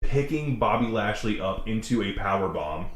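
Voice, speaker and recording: In a room with audible echo, a man speaks in an animated tone at a fairly slow pace with ordinary pitch variation. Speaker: wrestling reaction video host. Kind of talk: casual chat. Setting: outdoors. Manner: loud.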